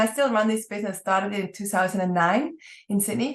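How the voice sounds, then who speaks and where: With a Swiss accent, a woman speaks with ordinary pitch variation. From Switzerland. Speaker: entrepreneur. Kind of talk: podcast interview.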